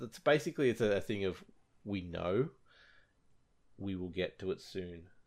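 Speaking with an Australian accent, a man uses a fairly low pitch and ordinary pitch variation. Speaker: podcast host. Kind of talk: casual chat.

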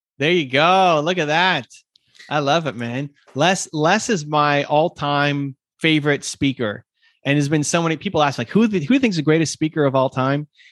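Over a quiet background, a man speaks in a normal speaking voice at a moderate pace, fairly high in pitch with ordinary pitch variation and a dry, close sound with no echo. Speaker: entrepreneur and YouTube creator.

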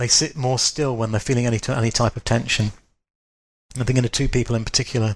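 Very fast, somewhat breathy male speech at medium pitch, monotone and flat. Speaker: writer and wisdom teacher. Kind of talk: casual chat.

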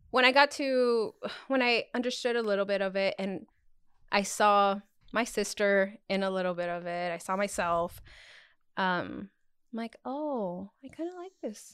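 A woman's medium-pitched voice at a fairly slow pace, with long, frequent pauses and ordinary pitch variation, on a very clean recording with a silent background. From Arizona, US Southwest (born in Mexico). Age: 30s. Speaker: podcast guest, friend of the hosts. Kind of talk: casual chat.

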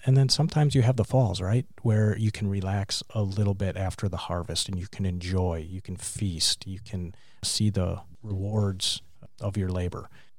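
Somewhat breathy and fairly low in pitch, a man speaks at a moderate pace with ordinary pitch variation, in a very clean recording with a silent background. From Wisconsin, US Midwest. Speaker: business leadership group chair. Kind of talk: interview.

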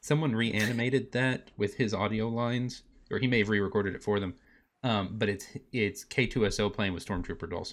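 Against a quiet background, a man with an unremarkable speaking voice talks at a moderate pace and medium pitch with fairly even intonation. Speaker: player and podcast host. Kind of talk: tabletop role-playing game actual play, casual and playful.

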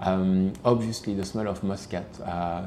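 With a Belgian French accent, a man speaks at a fairly slow pace in a very deep, low pitch with ordinary pitch variation, and audible room echo surrounds him. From Belgium, Liège. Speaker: perfume creative director. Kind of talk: interview. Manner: hesitant, many fillers.

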